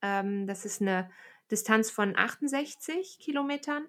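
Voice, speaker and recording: A plain, everyday voice from a woman, fairly high with ordinary pitch variation, comes through on a very clean recording with a silent background. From Aachen, western Germany. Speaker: podcast host, trail runner. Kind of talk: casual interview.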